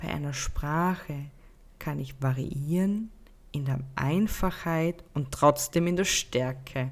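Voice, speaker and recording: Over a silent background in a very clean recording, a woman with a very deep, low pitch talks at a very slow pace with ordinary pitch variation. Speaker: podcast host and happiness mentor. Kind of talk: unscripted solo podcast monologue. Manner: spontaneous, unscripted.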